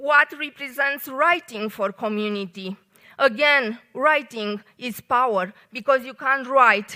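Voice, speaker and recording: A woman's bright, sharp voice at a high pitch in a Romanian accent, very slow in pace with ordinary pitch variation. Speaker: engineer and poet giving a short talk. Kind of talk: short public talk. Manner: hesitant, many fillers.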